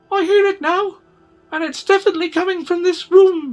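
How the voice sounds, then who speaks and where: Against faint background music, a squeaky put-on character voice moves at a fairly quick pace. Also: female-sounding voice, extremely high pitch for a woman. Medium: read story.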